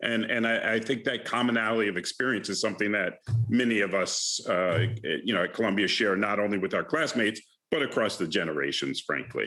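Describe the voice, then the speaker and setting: With music in the background, a speaker with a slight Bronx accent talks at a fairly quick pace, with ordinary pitch variation and very even loudness. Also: man, fairly low pitch for a man. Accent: faint Bronx accent in a few words. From New York City, the Bronx. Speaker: alumnus and investment manager. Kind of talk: conversation at alumni lecture. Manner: halting with many fillers.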